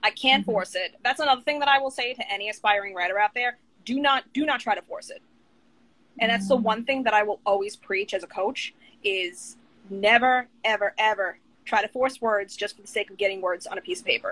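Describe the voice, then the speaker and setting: Speaking at a fairly quick pace in a New York accent, a woman has a fairly high pitch and ordinary pitch variation, with a dry, close sound and no echo. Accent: New York, tame. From Long Island, New York. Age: 30s. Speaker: author and writing coach. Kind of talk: casual interview. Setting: Instagram live video.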